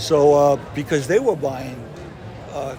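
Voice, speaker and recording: A man with an American accent talks at a fairly slow pace and fairly high pitch. Noticeable background noise and audible room echo come through. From New England (near Boston). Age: 70s. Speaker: yo-yo company founder. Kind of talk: interview storytelling. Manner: halting, many fillers.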